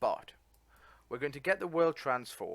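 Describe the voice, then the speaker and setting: This man speaks with an English accent and ordinary pitch variation. The recording is very clean, with a silent background. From England. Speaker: coding tutor. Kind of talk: tutorial. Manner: casual, halting with fillers.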